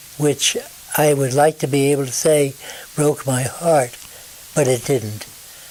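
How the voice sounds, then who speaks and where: Delivery comes at a fairly slow pace with fairly even intonation over noticeable background noise. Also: man. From northern New Jersey. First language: German. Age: 90s. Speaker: retired radio station owner. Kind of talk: life story interview. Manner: halting.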